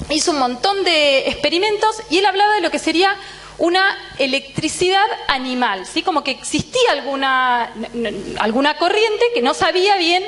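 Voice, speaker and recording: At a fairly slow pace, the voice swings very widely in pitch against noticeable background noise. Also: woman. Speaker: physiology professor. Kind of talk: lecture. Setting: lecture hall with students. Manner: tends to speed up.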